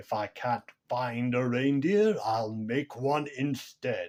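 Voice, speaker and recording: A growling, put-on character voice at a very slow pace with ordinary pitch variation. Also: man, medium pitch for a man. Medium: read story. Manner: snarling, sneering.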